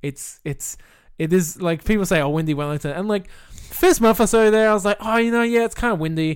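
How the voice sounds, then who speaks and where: With an Australian accent, a man speaks at a high pitch and a fairly quick pace, using lively intonation. The recording is very clean, with a silent background. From South Australia, Millicent. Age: 20s. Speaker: video game developer. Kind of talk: casual chat.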